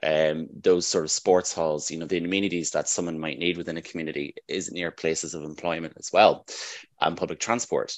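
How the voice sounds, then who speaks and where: This man's voice sits at a very deep, low pitch, and his intonation stays fairly even. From Northern Ireland. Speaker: housing development manager. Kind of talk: interview.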